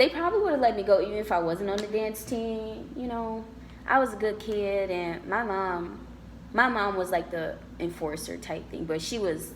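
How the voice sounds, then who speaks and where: A woman with an American accent talks at a moderate pace, her pitch medium with ordinary variation. Audible room echo surrounds her voice. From Detroit, Michigan, US. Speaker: university student. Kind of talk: casual interview chat.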